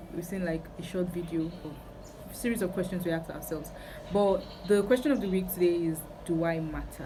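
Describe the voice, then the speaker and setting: Audible room echo around a medium-pitched female voice. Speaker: youtuber. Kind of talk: testimony. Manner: casual, hesitant with fillers.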